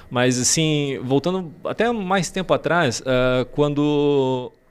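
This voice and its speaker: A man's voice with ordinary pitch variation, in a very clean recording over a silent background. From Santa Catarina, Brazil. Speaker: car detailing specialist and youtuber. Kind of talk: interview conversation. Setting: studio. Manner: halting.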